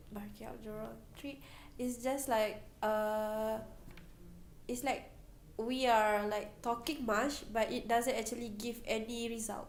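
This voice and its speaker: A woman in a Malaysian accent speaks at a fairly slow pace with long, frequent pauses, her fairly high pitch held in monotone, flat intonation amid audible room echo. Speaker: university student. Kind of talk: interview.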